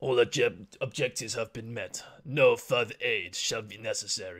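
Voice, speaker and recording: In a raspy, put-on character voice, the speaker goes at a moderate pace. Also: man, medium pitch for a man. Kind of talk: formal, clipped, announcement-like. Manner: impression, self-described as terrible.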